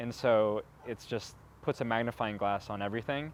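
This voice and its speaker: This is a man speaking. His pitch sits fairly low. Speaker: person who stutters. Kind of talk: interview testimony. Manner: stutter.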